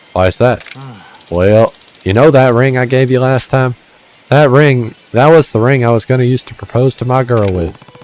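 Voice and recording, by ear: The passage is read aloud in a natural voice.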